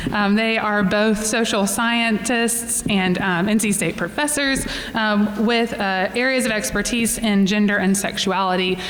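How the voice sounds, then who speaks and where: A woman with a fairly high voice speaks at a fairly slow pace with hardly any pauses, very even loudness and fairly even intonation, over noticeable background noise and audible room echo. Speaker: church forum moderator. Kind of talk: event introduction; guided breath prayer. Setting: room with live audience.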